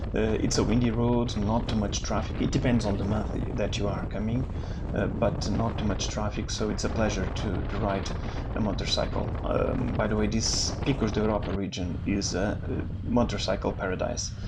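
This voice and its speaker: At a moderate pace and very even loudness, a man talks amid noticeable background noise and audible room echo. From northern Portugal. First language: Portuguese. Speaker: motorcycle travel vlogger. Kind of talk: travel vlog narration. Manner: halting, many fillers.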